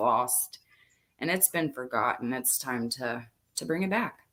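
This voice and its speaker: Her tone is bright and sharp, her intonation lively. The woman keeps a moderate pace. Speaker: true crime channel host. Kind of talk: casual chat. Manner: loud.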